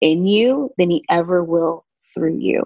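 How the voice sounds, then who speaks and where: With an American accent, a woman speaks at a fairly slow pace and fairly low pitch in an ordinary speaking voice. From Southern California. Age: 30s. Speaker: interior designer. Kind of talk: casual chat.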